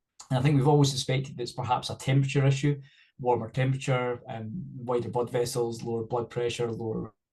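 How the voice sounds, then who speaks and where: A man with a Scottish accent, somewhat breathy and dark and mellow in tone, medium-pitched, with monotone, flat intonation at a very fast pace. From Scotland. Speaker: cardiovascular researcher. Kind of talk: webinar panel discussion.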